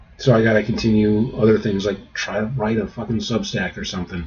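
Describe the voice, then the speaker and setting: A man's fairly low, somewhat breathy voice, monotone and flat in intonation, at a moderate pace. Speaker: writer streaming about their draft. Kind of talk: casual livestream chat. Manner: halting, repeats words.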